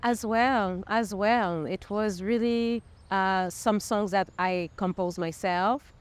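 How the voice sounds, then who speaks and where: With a French accent, a woman speaks very slowly at a medium pitch and fairly even intonation. The recording is very clean, with a silent background. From Montreal, Quebec. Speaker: singer-songwriter. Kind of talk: interview. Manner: halting.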